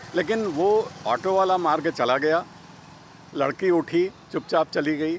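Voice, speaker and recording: This man's voice sits high in pitch, and his loudness stays very even throughout. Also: ordinary pitch variation. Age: 60s. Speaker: cycling enthusiast. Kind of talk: interview.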